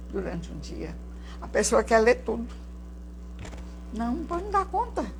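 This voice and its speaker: The speech moves at a fairly slow pace. Room echo is audible. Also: woman. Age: 70s. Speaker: spiritual teacher. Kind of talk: lecture. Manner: conversational.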